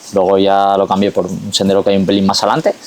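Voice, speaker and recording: There is noticeable background noise as a man speaks in a fairly low voice. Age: 40s. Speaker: trail race organizer, former footballer. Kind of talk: podcast interview. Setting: outdoors on a mountain rock.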